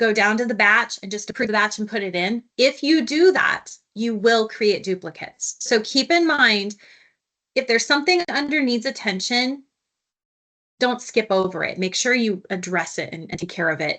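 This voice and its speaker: This voice, with an American accent, has a bright, sharp tone and lively intonation at a moderate pace. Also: woman, fairly high pitch for a woman. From United States. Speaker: software consultant. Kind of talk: webinar tutorial.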